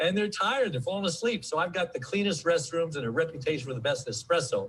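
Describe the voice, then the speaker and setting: A man speaks with a high-pitched voice. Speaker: gas station owner, author. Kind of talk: rehearsed mock TV interview segment.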